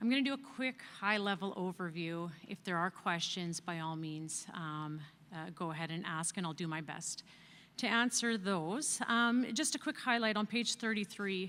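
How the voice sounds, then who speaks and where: A woman speaks loudly at a moderate pace with lively intonation. Her medium-pitched voice has a bright, sharp tone. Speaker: external auditor. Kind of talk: financial report presentation at annual meeting.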